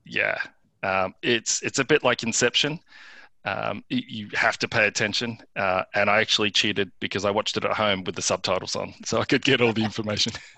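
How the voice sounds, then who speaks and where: Fairly low, fairly quick male voice with an Australian accent, a bright, sharp tone, vocal fry and fairly even intonation, dry and close with no echo over a quiet background. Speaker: tech startup founder. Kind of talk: interview. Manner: halting.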